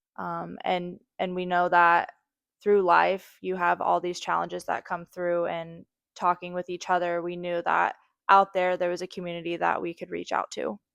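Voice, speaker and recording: She speaks at a moderate pace. Around this woman, the background is quiet. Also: dry, close sound with no echo. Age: 30s. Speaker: podcast co-host. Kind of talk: casual chat. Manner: laid-back, quiet.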